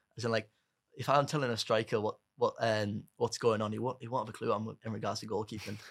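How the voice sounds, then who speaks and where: A man at a medium pitch with a Cumbrian accent, fairly even intonation and a very fast pace. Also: very clean recording, silent background. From northern England, Carlisle. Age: young. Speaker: amputee footballer, goalkeeper. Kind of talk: casual chat. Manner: halting.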